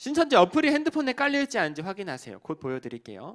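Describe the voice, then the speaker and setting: Racing at a very fast pace, a man speaks in a high pitch with very wide pitch swings. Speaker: evangelist and cult counselor. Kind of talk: sermon.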